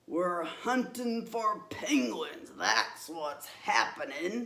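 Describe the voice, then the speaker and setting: A man's put-on character voice, raspy, gruff and growling, at high pitch, with very wide pitch swings and a very slow pace. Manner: gruff, growly.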